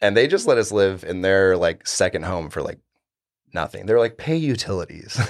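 This man has a plain, everyday voice at a medium pitch, with an American accent. He talks at a moderate pace. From Florida panhandle. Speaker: bartender. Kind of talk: casual chat.

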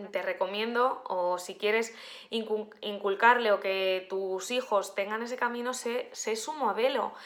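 Speaking at a fairly slow pace, a woman with a medium pitch uses a bright, sharp tone and fairly even intonation. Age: 20s. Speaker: life coach. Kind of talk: casual monologue. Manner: halting, many fillers.

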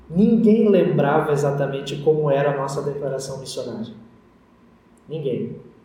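Speaking at a fairly high pitch with ordinary pitch variation, a man leaves long, frequent pauses. Noticeable background noise and audible room echo fill the recording. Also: moderate pace. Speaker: pastor. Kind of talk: sermon.

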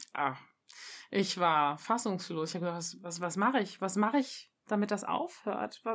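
A woman with a plain, everyday voice, medium in pitch with lively intonation at a moderate pace, in a very clean recording with a silent background. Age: 30s. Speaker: mother sharing birth experience. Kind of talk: interview testimony.

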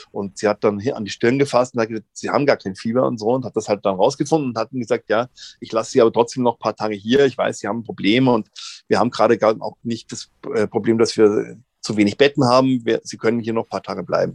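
The speech comes at a very fast pace with fairly even intonation. The sound is dry and close with no echo, over a quiet background. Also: man, medium pitch for a man. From Munich, Bavaria. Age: 50s. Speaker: actor and comedian. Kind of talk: casual interview. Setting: virtual studio.

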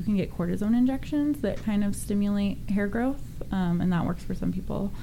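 A woman speaks with an American accent. Audible echo from the room surrounds her voice. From Northern California. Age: 30s. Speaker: pageant contestant with alopecia. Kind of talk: radio interview. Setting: studio.

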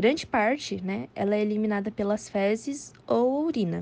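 The voice has a dark, mellow tone and a Brazilian accent. Its pitch variation is ordinary. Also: woman. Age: 20s. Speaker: nutrition student, podcast co-host. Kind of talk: scripted educational explanation.

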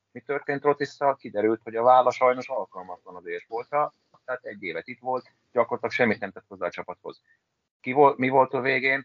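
A man talks at a very fast pace with a medium pitch. His loudness swings widely while his pitch varies in an ordinary way. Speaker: handball blogger and podcast co-host. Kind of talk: casual chat.

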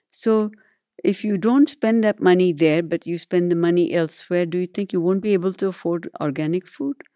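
A woman with a Tamil accent speaks at a fairly quick pace, her voice fairly low with a dark, mellow tone. Her pitch varies in an ordinary way, and the sound is dry and close with no echo. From India. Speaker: neurologist. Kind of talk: interview. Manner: halting.

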